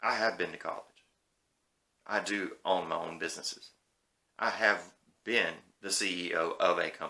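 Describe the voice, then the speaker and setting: A man with a Southern US accent talks at a moderate pace, leaving long, frequent pauses. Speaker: YouTube movie commentator. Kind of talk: casual opinion rant. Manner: animated.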